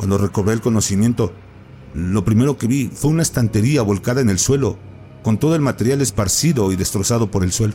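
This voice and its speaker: Delivered in a dramatic tone at a fairly quick pace, the speech comes through noticeable background noise. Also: man, fairly low pitch for a man, ordinary pitch variation. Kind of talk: ghost story telling, first-person horror narration. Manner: hushed, suspenseful, dramatic pacing with pauses; halting, breathless at the frightening peaks.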